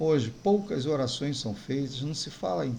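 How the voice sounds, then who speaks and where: A man's voice has a dark, mellow tone, somewhat breathy, with lively intonation at a fairly slow pace. Audible room echo surrounds it. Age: 60s. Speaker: pastor. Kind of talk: sermon.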